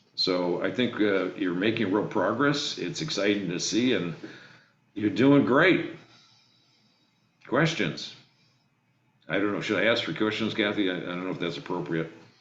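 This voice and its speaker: The man's fairly low voice has lively intonation and a moderate pace. Long, frequent pauses and audible room echo fill the recording. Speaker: state legislator. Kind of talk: remarks to a video meeting. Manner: hesitant, many fillers.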